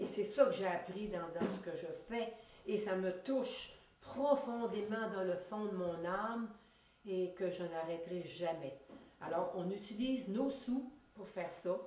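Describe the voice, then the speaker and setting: Speech in a Quebec accent moves at a fairly slow pace with ordinary pitch variation. Room echo and background noise are both noticeable. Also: woman, medium pitch for a woman. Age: 60s. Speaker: retired school principal and volunteer feeding homeless. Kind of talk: TV interview. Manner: animated; halting.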